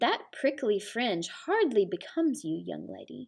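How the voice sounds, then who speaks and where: Using a put-on character voice at medium pitch, a woman speaks at a moderate pace. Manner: calm, dry rebuke.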